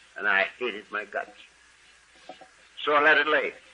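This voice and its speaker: A man speaks against noticeable background noise. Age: 70s. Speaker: AA speaker sharing recovery story. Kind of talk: testimony.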